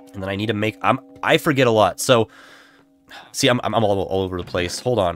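A man speaks very fast in a fairly low pitch, with ordinary pitch variation. He leaves long, frequent pauses, and music plays in the background. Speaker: gaming streamer. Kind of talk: casual livestream gameplay commentary. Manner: halting, many repeated words.

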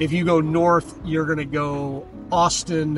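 Clear music plays in the background as a man talks at a very slow pace, the sound dry with no echo. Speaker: local guide. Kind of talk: casual driving commentary. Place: car.

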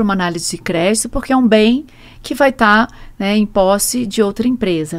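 A woman with a Rio de Janeiro accent, fairly high in pitch with ordinary pitch variation, at a moderate pace with big swings in loudness, over a quiet background. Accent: Rio de Janeiro (carioca) accent, noticeable. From Brazil, Rio de Janeiro. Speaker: truck rental executive; guest. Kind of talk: interview. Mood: calm, explanatory. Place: studio. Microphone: studio mic.

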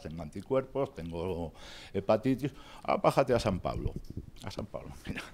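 A man speaks at a moderate pace, his pitch moving in very wide swings. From Spain. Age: 50s. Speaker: patient speaker, ex-drug user and novelist. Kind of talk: talk to pharmacists, personal testimony. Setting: workshop with audience. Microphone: handheld.

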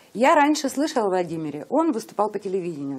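This woman talks at a fairly quick pace, and her pitch swings very widely. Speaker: interviewer. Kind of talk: interview. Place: studio. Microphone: lapel.

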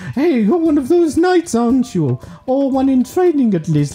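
A man does a put-on character voice while faint music plays in the background. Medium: solo performance. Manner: bubbly, sales-pitch friendly.

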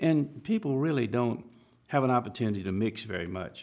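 A man speaks with an Alabama accent. The background is quiet. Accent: Southern American (Alabama). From Alabama, US South. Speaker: civil rights attorney. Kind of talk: interview answer, expert parenting advice. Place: studio.

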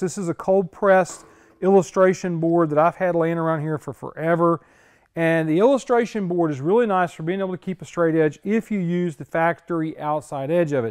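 Against a quiet background, a man with a high pitch speaks at a fairly quick pace with ordinary pitch variation. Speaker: car restorer host. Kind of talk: tutorial. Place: garage.

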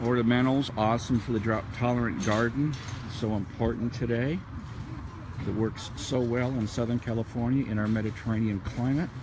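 A man talks at a fairly quick pace with fairly even intonation and very even loudness. Noticeable background noise runs underneath. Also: dry sound with no echo. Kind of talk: casual walking vlog commentary. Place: market. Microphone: phone near.

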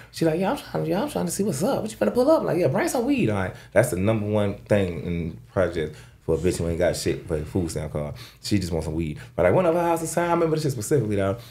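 Talking at a very fast pace, a man uses a fairly low pitch with very wide pitch swings. His tone is dark and mellow and somewhat breathy. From Florida. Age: 30s. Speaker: rapper; podcast guest or host. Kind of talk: casual chat. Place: studio. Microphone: studio mic.

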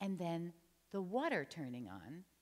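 This woman has an American accent and a fairly low pitch. Her voice makes very wide pitch swings. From New Jersey. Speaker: storyteller. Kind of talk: storytelling performance. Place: church.

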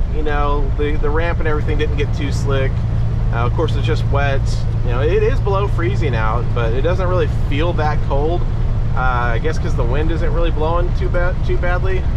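A man speaks at a moderate pace through loud background noise. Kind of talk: casual vlog chat. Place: car. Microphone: camera far.

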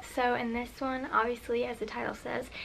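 Light background noise is present. The speaking pace is moderate. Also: woman. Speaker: beauty vlogger. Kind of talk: casual tutorial chat. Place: home room. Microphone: camera far.

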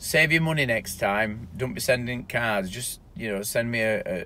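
A man talks with ordinary pitch variation. The sound is dry, with no echo. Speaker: business owner vlogger. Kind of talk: casual vlog chat. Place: car. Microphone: phone near.

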